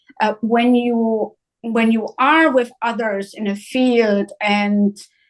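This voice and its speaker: Speaking very slowly with a German accent, a woman keeps a fairly high pitch and fairly even intonation. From northern Germany, near Hanover. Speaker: psychiatrist. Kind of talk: interview. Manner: hesitant, many uhs.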